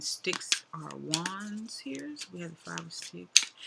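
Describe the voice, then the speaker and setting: Against noticeable background noise, a woman speaks with a very deep, low pitch and ordinary pitch variation. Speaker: tarot reader. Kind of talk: casual tarot reading monologue. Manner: fast; casual, chatty with fillers.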